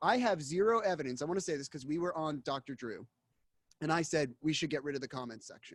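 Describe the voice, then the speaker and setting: Fairly high male voice with lively intonation and a US Northeastern accent, dry and close with no echo, on a very clean recording against a silent background. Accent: US Northeast. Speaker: investigative journalist. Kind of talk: casual interview.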